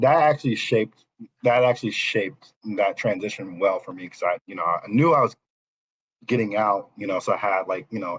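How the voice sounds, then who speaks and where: At a moderate pace, a man talks at a medium pitch. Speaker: former navy officer and college football player. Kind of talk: podcast interview. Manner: halting, many fillers and restarts.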